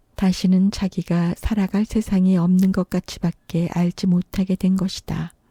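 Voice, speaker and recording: The delivery is fairly slow and somewhat breathy, with hardly any pauses, very even loudness, monotone, flat intonation, and a dry, close sound with no echo. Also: woman, medium pitch for a woman. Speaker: audiobook narrator. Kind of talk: audiobook reading of a classic short story.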